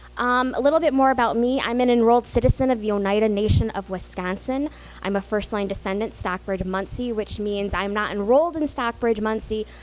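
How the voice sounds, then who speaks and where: With an American accent, a woman talks very fast at a fairly high pitch with ordinary pitch variation and hardly any pauses, against noticeable background noise. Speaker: public historian. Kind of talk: lecture. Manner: loud; fast when excited.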